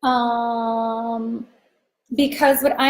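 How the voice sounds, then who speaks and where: A woman speaks at a very slow pace in a fairly high pitch. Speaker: business coach. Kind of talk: live stream training. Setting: live video stream. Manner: loud; animated.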